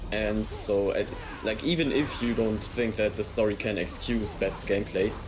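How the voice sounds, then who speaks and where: German-accented male speech at a moderate pace, very even in loudness, with audible room echo and noticeable background noise. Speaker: gamer. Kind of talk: casual chat. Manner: halting.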